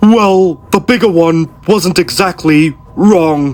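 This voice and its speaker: Someone uses a put-on character voice. The pitch sits in the middle, and the pace is very slow. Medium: audio drama. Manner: touchy, defensive.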